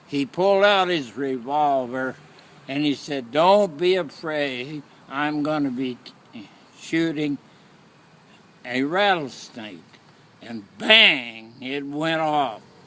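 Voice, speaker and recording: Over noticeable background noise, a man with an American accent and a fairly high pitch speaks at a very slow pace, leaving long, frequent pauses. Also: ordinary pitch variation. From Oklahoma. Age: 80s+. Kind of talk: personal storytelling.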